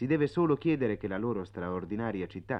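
Talking fairly quickly, a man uses an ordinary speaking voice and lively intonation. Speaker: radio travel writer narrator. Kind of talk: reading aloud a 1956 radio travelogue, scripted narration.

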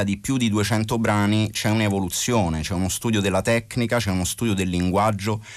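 A man with a plain, everyday voice, fairly low in pitch, with ordinary pitch variation. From Italy. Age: 40s. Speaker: rapper. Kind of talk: interview.

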